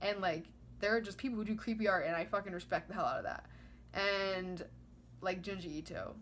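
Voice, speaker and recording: The voice shows vocal fry and ordinary pitch variation. It moves at a very fast pace, yet with long, frequent pauses. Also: woman. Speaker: vlogger. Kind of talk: casual monologue. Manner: rambling, filler-heavy.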